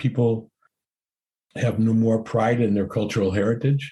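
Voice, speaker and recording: Somewhat breathy and dark, mellow in tone, a man's medium-pitched voice moves at a fairly quick pace. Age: 70s. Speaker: explorer and cinematographer. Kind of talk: interview. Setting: podcast interview.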